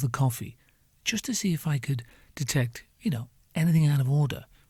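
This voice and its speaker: A man talks at a fairly quick pace in a fairly high voice, with a dark, mellow tone. His delivery is somewhat breathy, and the recording is very clean with a silent background. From northern England. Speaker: podcast host. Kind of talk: comedic monologue. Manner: animated.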